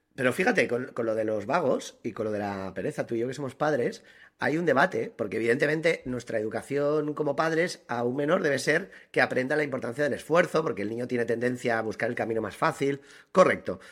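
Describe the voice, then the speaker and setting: In a very clean recording with a silent background, a man at medium pitch talks at a very fast pace with lively intonation. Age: 40s. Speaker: podcast co-host. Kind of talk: casual chat.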